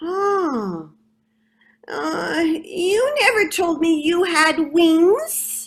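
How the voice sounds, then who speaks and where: At a very slow pace, a woman uses a put-on character voice with an extremely high pitch. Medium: read story. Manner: boastful.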